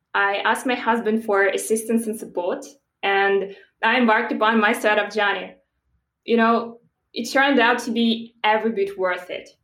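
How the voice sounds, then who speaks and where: With audible room echo, a woman speaks at a moderate pace in a fairly high, monotone voice with flat intonation. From Belarus. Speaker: startup founder. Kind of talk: interview.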